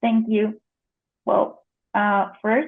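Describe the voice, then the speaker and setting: A woman is speaking. She has a Spanish accent. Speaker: editor and translator. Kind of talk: conference presentation. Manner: hesitant, many fillers.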